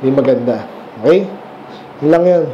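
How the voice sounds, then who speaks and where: A man speaks in an animated tone at a fairly high pitch. Light background noise sits behind him. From Philippines. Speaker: preacher. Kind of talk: sermon, verse-by-verse Bible teaching. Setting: church. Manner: conversational, explains and asks rhetorical questions; animated, mixes Tagalog and English. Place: church. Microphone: camera far.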